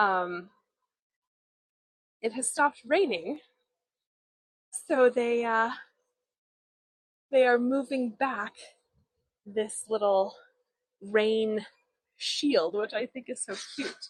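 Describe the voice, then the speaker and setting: A woman's fairly high voice with ordinary pitch variation, very slow delivery, and long, frequent pauses. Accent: American. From US Pacific Northwest / Midwest (Portland, Oregon and Chicago). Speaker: tour guide. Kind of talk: live-streamed walking tour. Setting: outdoors. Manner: casual, hesitant with fillers.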